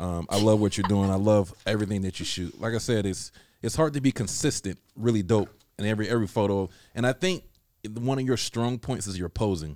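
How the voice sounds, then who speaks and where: With an ordinary speaking voice and ordinary pitch variation, a man talks at a fairly quick pace in a very clean recording with a silent background. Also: fairly low pitch for a man. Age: 30s. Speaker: podcast host. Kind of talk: casual chat. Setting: studio.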